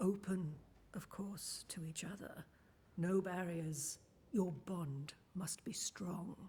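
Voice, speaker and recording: The speaker uses a put-on character voice at a middle pitch, going very slowly with long, frequent pauses. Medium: video game. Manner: cryptic, measured.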